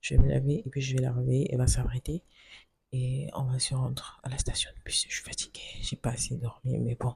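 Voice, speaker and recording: A woman is soft-spoken. She talks at a fairly quick pace. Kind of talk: vlog. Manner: speaking softly.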